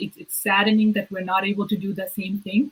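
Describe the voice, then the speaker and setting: A woman at a medium pitch. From Bangladesh, moved to Canada as a child in 1999. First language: Bengali. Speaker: provincial politician. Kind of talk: interview. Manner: halting, many fillers and repeats.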